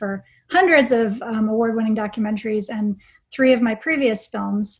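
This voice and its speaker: Her voice is fairly high-pitched and somewhat breathy. The woman keeps a moderate pace. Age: 50s. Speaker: documentary film director. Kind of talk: panel discussion.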